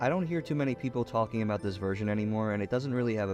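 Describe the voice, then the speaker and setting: A man talks at a fairly low pitch. Music is heard in the background. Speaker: gaming video reviewer. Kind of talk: retrospective game review narration. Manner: sarcastic, profane humor.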